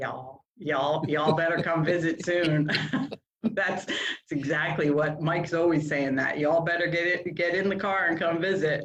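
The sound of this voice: A woman speaks in a low pitch with fairly even intonation. Audible room echo surrounds the voice. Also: fairly slow pace.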